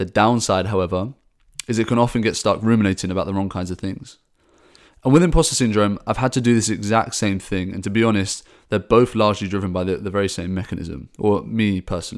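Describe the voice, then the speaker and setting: Over a very clean recording with a silent background, a man talks at a very fast pace with a fairly low pitch and ordinary pitch variation. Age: 20s. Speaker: startup founder and podcast host. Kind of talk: personal monologue podcast.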